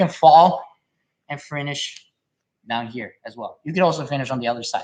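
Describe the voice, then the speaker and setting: At a moderate pace over a quiet background, a man with a non-native accent speaks with lively intonation. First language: not English. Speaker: jiu-jitsu instructor. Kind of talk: live stream technique tutorial and Q&A. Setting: live stream. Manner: halting, with frequent repetitions and fillers; casual, conversational.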